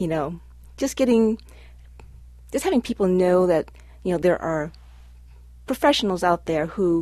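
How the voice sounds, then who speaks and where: Speaking at a moderate pace, a woman with a fairly low voice makes very wide pitch swings. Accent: Midwestern. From Cleveland, Ohio. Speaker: community organization president. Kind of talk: casual radio chat. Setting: radio studio.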